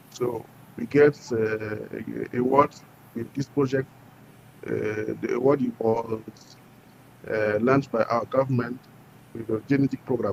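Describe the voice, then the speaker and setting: A man with a West African French accent, medium pitch, monotone flat intonation, a fairly slow pace and long, frequent pauses. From Burkina Faso. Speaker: entrepreneur. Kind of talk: interview. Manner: halting.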